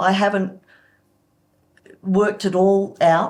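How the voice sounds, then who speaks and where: This woman speaks with an Australian accent at a medium pitch. Her intonation is flat and monotone. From Sydney, Australia. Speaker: church member sharing testimony. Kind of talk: testimony interview. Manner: halting.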